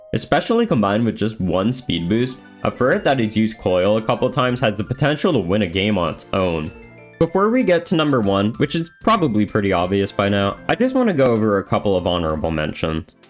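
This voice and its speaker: Over music in the background, the speaker talks at a very fast pace with lively intonation. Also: man, fairly low pitch for a man. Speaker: gaming video creator. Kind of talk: video essay voice-over. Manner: sometimes stutters or slurs words together.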